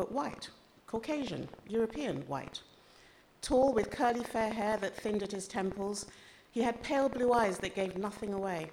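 A woman speaks with an American accent in an unremarkable speaking voice, fairly high in pitch. Her intonation is lively and her pace moderate. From Ghana, childhood in several countries incl. USA and Austria. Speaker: author. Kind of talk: reading aloud. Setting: stage with audience.

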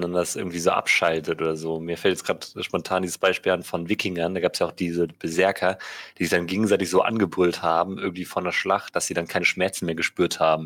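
On a very clean recording with a silent background, a man talks at a very fast pace in a very deep, low, monotone, flat voice. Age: 20s. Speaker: podcast co-host, philosophy student. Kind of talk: casual chat.

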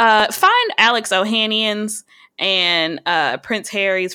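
Very clean audio of a woman with a bright, sharp tone against total silence. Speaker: podcast co-host. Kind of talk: casual chat.

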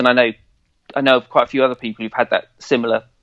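A man with an English accent and a medium pitch, in a dry, close sound with no echo. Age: 40s. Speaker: football fan podcaster. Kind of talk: casual chat.

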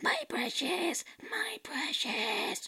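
A put-on character voice pitched high. It comes out hoarse and raspy. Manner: obsessive, imitating a film creature.

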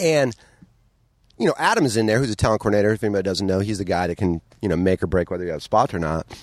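A man talks at a very fast pace with a fairly low pitch and ordinary pitch variation. The sound is dry and close, with no echo. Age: 40s. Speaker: comedian. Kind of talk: casual chat.

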